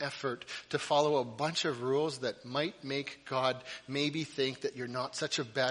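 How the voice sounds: This is a natural reading voice. Its intonation stays fairly even.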